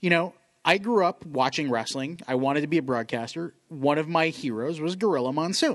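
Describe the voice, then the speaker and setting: A man with an ordinary speaking voice talks at a fairly quick pace, his pitch fairly high with ordinary variation. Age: 30s. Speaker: sports podcast co-host. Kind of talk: casual chat. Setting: studio.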